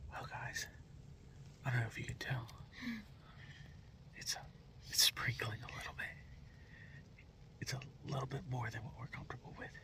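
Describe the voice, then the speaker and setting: Whispering at a fairly quick pace, a man leaves long, frequent pauses over noticeable background noise. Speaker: hunting video host. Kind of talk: casual outdoor vlog commentary. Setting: in a truck. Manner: quiet, hushed.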